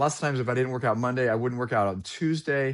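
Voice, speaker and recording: A man's medium-pitched, animated voice at a very fast pace, against a quiet background. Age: 40s. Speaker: sales trainer. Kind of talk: casual chat.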